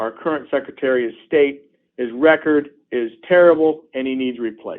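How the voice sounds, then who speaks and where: An unremarkable speaking voice, a man with an American accent and fairly high pitch. He keeps a moderate pace with fairly even intonation. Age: 60s. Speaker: politician. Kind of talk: interview. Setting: phone call.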